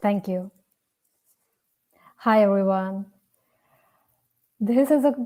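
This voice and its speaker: With an Indian accent, a woman speaks very slowly in a dark, mellow tone, with ordinary pitch variation and long, frequent pauses. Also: medium pitch for a woman. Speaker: storyteller. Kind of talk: personal storytelling.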